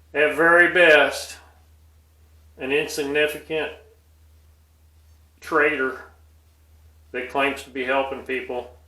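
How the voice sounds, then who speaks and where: A man's fairly high, bright, sharp voice at a fairly slow pace, with fairly even intonation and audible room echo. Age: 60s. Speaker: video blogger. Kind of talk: personal monologue.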